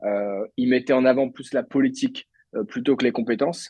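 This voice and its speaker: Speaking at a moderate pace, a man with a medium-pitched voice is heard in a dry, close sound with no echo. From France, Brittany (Lannion, Côtes d'Armor). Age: 20s. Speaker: entrepreneur. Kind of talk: podcast interview. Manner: hesitant, many fillers.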